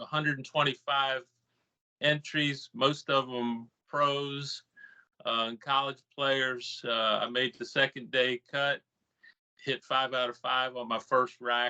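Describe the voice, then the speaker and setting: Very slowly and in a monotone, flat intonation, a man talks at a medium pitch with a bright, sharp tone, in a dry, close sound with no echo. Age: 60s. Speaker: flooring contractor. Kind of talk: casual chat. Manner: halting.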